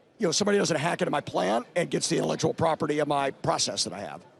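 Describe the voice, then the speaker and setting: There's vocal fry in this man's fairly high-pitched voice. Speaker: tech company team leader. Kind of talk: trade show booth interview. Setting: exhibition floor booth.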